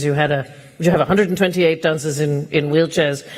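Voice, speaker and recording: The speech runs at a very fast pace against noticeable background noise. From Denmark. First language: Danish. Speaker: event host. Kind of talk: awards ceremony hosting. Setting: stage with audience.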